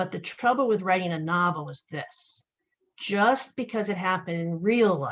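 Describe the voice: Over a quiet background, the text is read aloud plainly, its pitch varying in an ordinary way.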